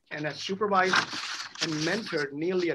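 The man's tone is bright and sharp, with ordinary pitch variation. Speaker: attorney moderating a Q&A. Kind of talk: introduction of speakers, read biography. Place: office. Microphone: video call.

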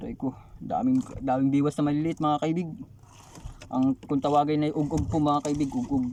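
At a moderate pace, a man speaks in a fairly high pitch with a dark, mellow tone and ordinary pitch variation. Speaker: fishing vlogger. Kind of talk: excited fishing vlog narration, thanking God over a big catch. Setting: outdoors on a fishing boat at sea. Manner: animated, excitable, repeating 'grabe ang dami' in amazement.

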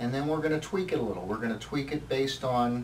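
A man speaks with ordinary pitch variation. Light background noise is audible. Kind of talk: explaining to a client. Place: office.

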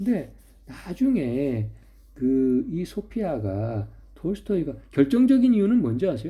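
The voice moves at a very slow pace and sounds somewhat breathy. Its pitch swings very widely. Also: man, fairly high pitch for a man. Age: old. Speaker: philosophy YouTuber. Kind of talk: solo monologue lecture. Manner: conversational, hesitant fillers.

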